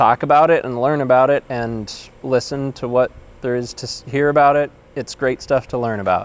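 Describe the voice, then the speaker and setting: The speaker has an American accent. Delivery is at a moderate pace with fairly even intonation. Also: man. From US Midwest, western suburbs of Chicago. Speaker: former patient sharing treatment experience. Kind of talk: personal testimony. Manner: halting, many fillers and repetitions. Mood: reflective, grateful. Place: garden. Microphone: lapel.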